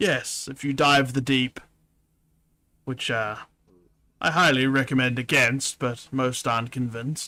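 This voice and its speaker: In a put-on character voice, the speaker goes at a moderate pace with long, frequent pauses. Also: man, medium pitch for a man, fairly even intonation. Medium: virtual streamer. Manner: soft-spoken and humble.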